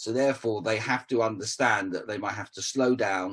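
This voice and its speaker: This man talks at a fairly quick pace in a medium pitch. His intonation stays fairly even. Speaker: communication coach. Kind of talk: interview. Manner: fast.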